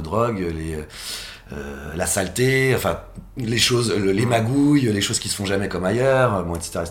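Amid noticeable background noise and audible room echo, a man talks at a fairly slow pace with lively intonation. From Paris region, France. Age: 40s. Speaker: social economy entrepreneur, fashion industry federation leader. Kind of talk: interview. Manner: halting, many fillers and repetitions.

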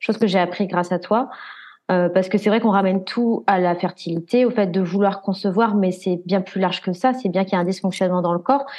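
A plain, everyday voice moves at a fairly quick pace, with fairly even intonation and very even loudness. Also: woman, medium pitch for a woman. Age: 20s. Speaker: patient sharing fertility journey. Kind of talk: casual interview.

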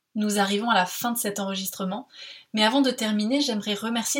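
This woman's voice sits fairly high and sounds somewhat breathy. Her intonation stays fairly even. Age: 20s. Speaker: podcast host. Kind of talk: scripted narration.

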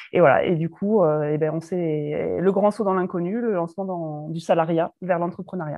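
A woman talks at a moderate pace with hardly any pauses, in an ordinary speaking voice. Her pitch is fairly low and her intonation fairly even. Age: 30s. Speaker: pharmacist turned entrepreneur. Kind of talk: casual interview.

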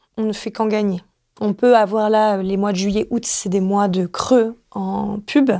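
A woman's dark, mellow voice at a medium pitch, flat and monotone, at a fairly slow pace. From Marseille, southern France. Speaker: finance manager. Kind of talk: interview.

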